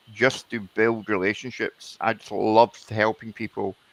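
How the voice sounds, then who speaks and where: Here a man speaks with a Scottish accent in a fairly low pitch, his intonation monotone and flat. The sound is dry and close, with no echo. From Scotland. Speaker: networking professional. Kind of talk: live business talk show.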